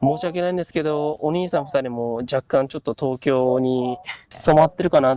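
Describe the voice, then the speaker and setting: A man with a Kansai accent speaks at a moderate pace, his dark, mellow tone carrying ordinary pitch variation in a dry, close sound with no echo. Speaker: Japanese language teaching host. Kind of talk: interview questions to guests.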